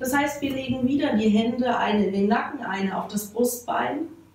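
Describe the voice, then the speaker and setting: A woman's voice, with ordinary pitch variation, carries audible room echo and light background noise. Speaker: fitness instructor. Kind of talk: exercise class instruction. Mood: calm, soothing pace.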